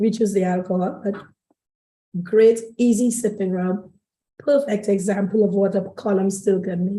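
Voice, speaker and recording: Somewhat breathy and fairly even in intonation, a woman speaks at a moderate pace with long, frequent pauses. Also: medium pitch for a woman. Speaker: rum distillery representative. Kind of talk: tasting presentation. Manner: halting.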